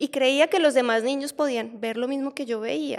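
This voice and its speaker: A woman with a Colombian accent at a moderate pace. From Colombia, Barranquilla then Bogotá. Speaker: medium. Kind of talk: interview testimony.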